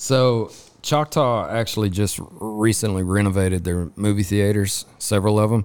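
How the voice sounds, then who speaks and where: With a West Texas accent, a man at a fairly low pitch talks at a moderate pace with ordinary pitch variation and very even loudness, in a very clean recording with a silent background. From West Texas (Lubbock). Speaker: podcast host. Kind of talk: casual interview chat; sponsor read. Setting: recording at a resort during a rodeo.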